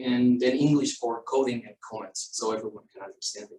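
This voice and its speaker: At a fairly quick pace, a man with a Spanish accent speaks at a medium pitch. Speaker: structural engineer. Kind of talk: technical presentation. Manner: halting.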